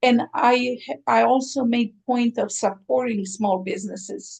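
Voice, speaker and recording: Someone with a Croatian accent talks at a very slow pace, keeping the intonation fairly even. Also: woman. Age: 60s. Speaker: aesthetician, spa owner. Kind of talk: interview.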